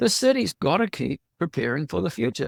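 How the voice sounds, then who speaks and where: A man in a New Zealand accent, with a dry, close sound and no echo. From New Zealand, Tauranga. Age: 70s. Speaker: local election candidate. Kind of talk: interview. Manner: halting.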